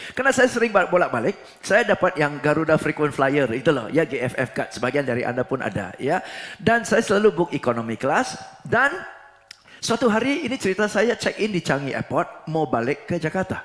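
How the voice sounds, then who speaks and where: A man with a slight Singaporean accent talks at a fairly quick pace in a fairly high pitch. His voice makes very wide pitch swings, with noticeable background noise behind it. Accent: Singaporean accent in Indonesian, slight. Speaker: preacher and motivational trainer. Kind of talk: sermon in corporate training style. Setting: church. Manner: mixes English and Indonesian.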